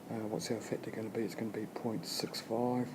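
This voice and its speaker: Audible room echo and noticeable background noise fill the recording. A man speaks at a medium pitch. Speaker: economics teacher. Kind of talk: tutorial. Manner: fast.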